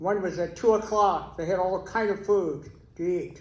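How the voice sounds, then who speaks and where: A man speaks at a fairly slow pace with an American accent. His pitch is high, and the room echo is audible. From Texas. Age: 90s. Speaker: keynote speaker, retired educator. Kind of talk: interview-style testimony on stage. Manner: halting.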